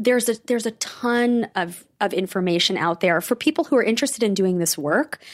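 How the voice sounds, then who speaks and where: Delivered in a plain, everyday voice at a fairly quick pace with hardly any pauses, lively intonation and very even loudness, the dry, close sound with no echo comes from a very clean recording with a silent background. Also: woman, fairly high pitch for a woman. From New York, Rockland County. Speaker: trauma therapist. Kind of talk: interview.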